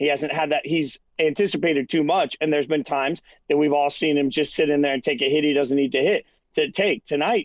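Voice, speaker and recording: A man with a normal speaking voice talks fairly quickly at a fairly high pitch, in a dry, close sound with no echo. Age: 40s. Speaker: sports broadcaster. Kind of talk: post-game sports analysis chat.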